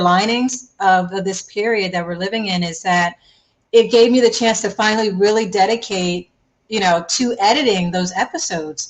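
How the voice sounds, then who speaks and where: At a moderate pace, a woman speaks in a medium pitch with an American accent and fairly even intonation. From US Northeast, Philadelphia. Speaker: travel TV host. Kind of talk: interview. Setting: live video stream. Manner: subdued.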